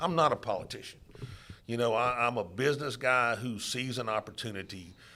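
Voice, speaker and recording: In a Louisiana accent, a man with a fairly low pitch and a bright, sharp tone speaks at a moderate pace with ordinary pitch variation. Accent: Louisiana Southern US. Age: 60s. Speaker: political candidate. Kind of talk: interview. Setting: studio.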